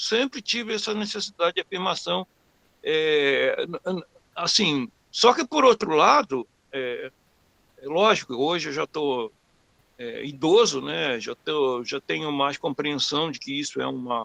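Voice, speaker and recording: A man's fairly high, fairly slow voice with very wide pitch swings, dry and close with no echo. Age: 60s. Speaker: webinar participant asking a question. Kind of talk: personal question during a webinar Q&A. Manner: halting, many repetitions and fillers.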